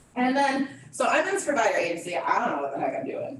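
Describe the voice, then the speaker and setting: A woman at a fairly quick pace in an animated tone with very wide pitch swings, with noticeable background noise and audible room echo. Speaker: presenter, former provider agency CEO. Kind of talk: training presentation. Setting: meeting room with audience and Zoom. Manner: fast.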